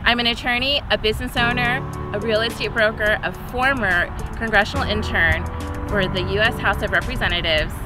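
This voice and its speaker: With music in the background and a dry sound with no echo, a woman speaks at a fairly quick pace. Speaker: candidate. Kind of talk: campaign address to camera. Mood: upbeat, friendly. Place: open country.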